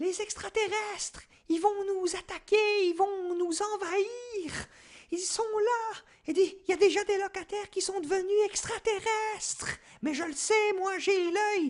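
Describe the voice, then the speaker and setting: In a put-on character voice, a man talks at a fairly slow pace with an extremely high pitch. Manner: frantic, shouting.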